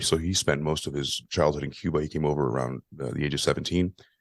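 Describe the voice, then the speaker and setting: A man's very deep, low voice with vocal fry at a very fast pace, over a quiet background. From US, Cuban-American family. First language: Spanish. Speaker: podcaster. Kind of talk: interview.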